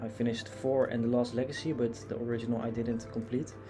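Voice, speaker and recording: Over music in the background and audible room echo, a man with a Dutch accent speaks very fast at a medium pitch in a flat monotone. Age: 20s. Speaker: gaming youtuber. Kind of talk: casual vlog commentary. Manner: hesitant, many fillers.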